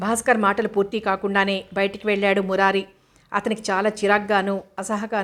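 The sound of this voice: The speaker uses an unforced reading voice.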